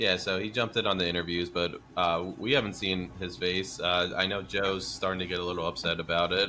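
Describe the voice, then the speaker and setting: A man's very deep, low voice at a fairly quick pace, monotone and flat, with hardly any pauses. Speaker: football podcast host. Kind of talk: casual chat. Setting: home. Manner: loud.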